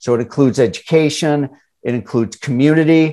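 An unremarkable speaking voice with an American accent comes through over a quiet background. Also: man. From suburban Chicago. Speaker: financial educator. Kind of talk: interview.

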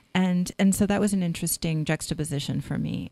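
The speaker has a West Coast accent. The pace is moderate. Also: woman. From Northern California. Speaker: novelist and English professor. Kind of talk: interview.

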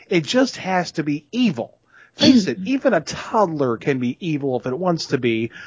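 A man with a Southern US accent speaks with a fairly high pitch and very wide pitch swings. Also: moderate pace. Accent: Southern American. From US South. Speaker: podcast co-host. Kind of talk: casual chat.

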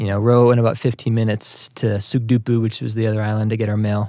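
Speech comes at a very fast pace in a dark, mellow tone with a slight Boston accent. The intonation is flat and monotone, and the recording is very clean with a silent background. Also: man. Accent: general American, little trace of Boston. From Massachusetts, US. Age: 30s. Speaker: Facebook group and website operator, accountant. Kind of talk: casual interview chat.

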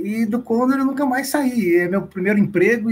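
A man's lively intonation at a moderate pace. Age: 40s. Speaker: retail loss prevention manager. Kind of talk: interview.

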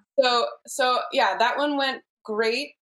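A woman speaks with an American accent. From Seattle, US Pacific Northwest. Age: 40s. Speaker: client, mother. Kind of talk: casual interview.

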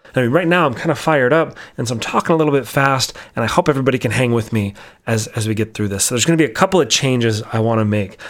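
Very fast and with ordinary pitch variation, a man speaks at a medium pitch with an American accent in a very clean recording over a silent background. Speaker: podcast host. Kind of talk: solo monologue podcast episode, casual and candid. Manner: talks fast, sometimes very quietly; candid, opinionated, sometimes over the top.

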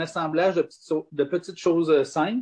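A man speaks in a high pitch with a dark, mellow tone. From Quebec, south shore of Quebec City. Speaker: distillery and vineyard owner. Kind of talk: interview.

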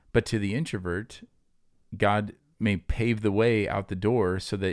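A man's fairly low voice with ordinary pitch variation, in a very clean recording over a silent background. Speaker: pastor and podcast host. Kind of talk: casual chat. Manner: fast.

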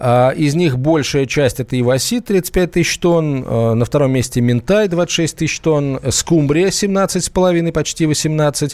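A man with a fairly high pitch and lively intonation speaks at a very slow pace. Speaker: radio host. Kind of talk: live radio talk show. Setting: studio. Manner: animated.

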